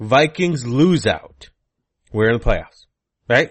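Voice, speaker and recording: Animated in tone, a man at a medium pitch lets his voice swing very widely. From Michigan. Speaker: fantasy football podcast host. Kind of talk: casual chat.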